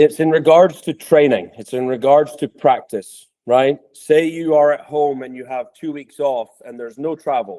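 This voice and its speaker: With a dark, mellow tone and fairly high pitch, a man talks at a moderate pace with hardly any pauses. His pitch varies ordinarily, and the sound is dry and close with no echo. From Scotland. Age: 30s. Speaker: podcast host, tennis coach. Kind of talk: interview podcast.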